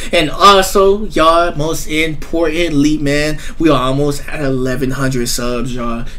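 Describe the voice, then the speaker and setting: This man's voice sits at a fairly high pitch with ordinary pitch variation. His tone is upbeat and his pace fairly slow. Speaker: sports reaction YouTuber. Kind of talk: live sports commentary over game highlights, reaction-style. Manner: casual, hyped, upbeat.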